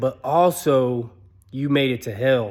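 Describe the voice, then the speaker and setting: At a fairly slow pace, a man with a medium pitch performs a put-on character voice. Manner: booming, authoritative.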